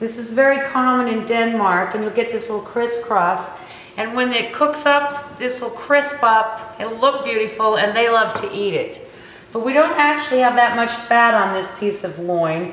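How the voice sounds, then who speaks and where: Audible room echo surrounds a woman's voice. She talks at a moderate pace with ordinary pitch variation. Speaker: cooking show host. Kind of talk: tutorial. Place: kitchen.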